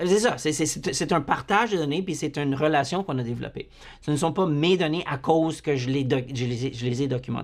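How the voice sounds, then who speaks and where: A man speaks at a fairly quick pace. His pitch varies in an ordinary way. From Manitoba, Canada (Franco-Manitoban, Métis of Saint-Boniface). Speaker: university psychology lecturer. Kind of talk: lecture. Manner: halting, many repetitions and fillers.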